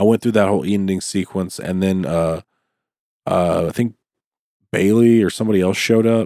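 A man with an American accent speaks at a fairly quick pace in a fairly low pitch, with a dark, mellow tone and ordinary pitch variation. The very clean recording has a silent background and a dry, close sound with no echo. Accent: Southern US, slight, comes back when drinking. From US South. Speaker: podcast host. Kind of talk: casual chat.

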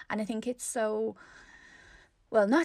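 A plain, everyday voice from a woman at medium pitch and a moderate pace. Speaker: podcast host. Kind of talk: casual interview chat.

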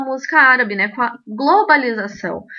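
This woman has a high pitch and lively intonation, and she talks at a fairly slow pace. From Rio Grande do Sul, Brazil. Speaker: belly dance teacher and podcast host. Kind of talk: podcast monologue, opinion commentary.

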